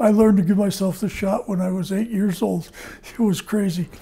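A man's high-pitched voice with a dark, mellow tone, at a moderate pace. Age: 80s+. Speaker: type 1 diabetic of 77 years. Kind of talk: interview answer. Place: home room. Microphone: lapel.

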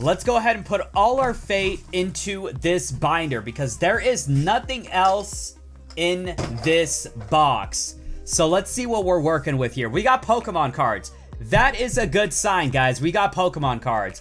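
The speech moves at a fairly slow pace. Faint music plays in the background. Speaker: card collector YouTuber. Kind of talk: casual unboxing commentary. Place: home room. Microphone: phone near.

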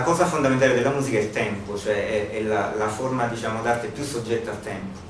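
Against light background noise and audible room echo, a man speaks with ordinary pitch variation. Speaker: musicologist; presenter. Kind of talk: seminar talk. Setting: seminar room with live audience. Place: hall.

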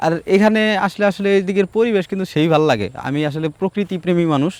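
This man's voice sits high in pitch and shows ordinary pitch variation. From Bangladesh, Tangail (Madhupur area). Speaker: travel vlogger. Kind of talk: casual vlog narration. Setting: outdoors.

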